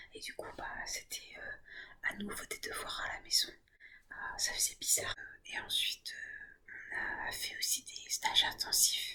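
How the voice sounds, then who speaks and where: A woman whispers at a fairly slow pace. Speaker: ASMR creator. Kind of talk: ASMR soft-spoken talk to camera. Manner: soft-spoken, whispering.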